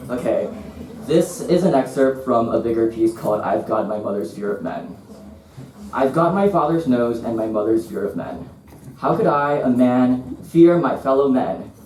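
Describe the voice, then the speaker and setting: With lively intonation, a man talks at a medium pitch and a moderate pace. The room echo is audible, and there is noticeable background noise. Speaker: visual artist. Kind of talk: reading aloud. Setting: stage with audience. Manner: stutter.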